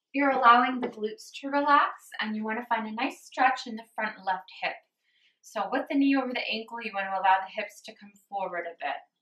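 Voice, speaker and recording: A woman with a fairly high pitch speaks with ordinary pitch variation and big swings in loudness. Room echo is audible. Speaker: yoga instructor. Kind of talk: guided yoga class. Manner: slow, calm. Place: home room. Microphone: camera far.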